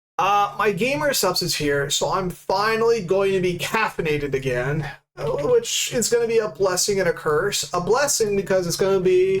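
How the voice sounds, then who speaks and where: This man's voice sits high in pitch and carries ordinary pitch variation. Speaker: streamer. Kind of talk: casual chat. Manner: halting.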